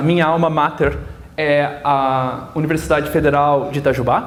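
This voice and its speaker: Amid noticeable background noise and audible room echo, a man with a slight Minas Gerais accent speaks at a fairly slow pace. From southern Minas Gerais, Brazil. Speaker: physicist. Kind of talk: lecture. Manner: halting.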